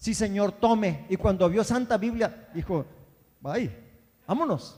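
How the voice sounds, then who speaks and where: A man talks with lively intonation. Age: 70s. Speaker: pastor. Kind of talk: sermon.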